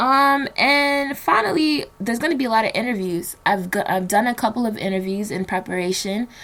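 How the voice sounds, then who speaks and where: With an American accent, a woman talks at a fairly quick pace with hardly any pauses, her fairly high pitch carrying lively intonation and a bright, sharp tone. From New Jersey, Nigerian household. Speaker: podcast host. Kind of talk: solo podcast monologue. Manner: casual, many fillers.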